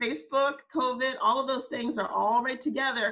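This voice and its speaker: Her voice is animated, bright and sharp, with vocal fry and ordinary pitch variation from this woman. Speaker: social media workshop presenter. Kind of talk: workshop presentation.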